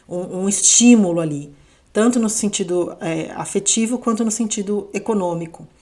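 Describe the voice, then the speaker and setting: A woman's medium-pitched voice with ordinary pitch variation and noticeable background noise. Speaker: astrologer. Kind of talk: astrology forecast monologue. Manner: unhurried, not fast; conversational, with fillers.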